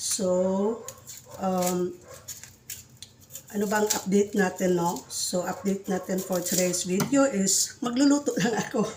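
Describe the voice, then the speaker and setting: The speech comes at a fairly slow pace with long, frequent pauses, ordinary pitch variation and noticeable background noise. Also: woman, medium pitch for a woman. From Visayas, Philippines. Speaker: caregiver vlogger. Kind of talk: casual cooking vlog. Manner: energetic.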